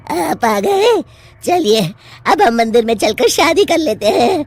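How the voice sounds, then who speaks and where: A cartoonish character voice at a fairly high pitch, with very wide pitch swings. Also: moderate pace. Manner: cackling, taunting.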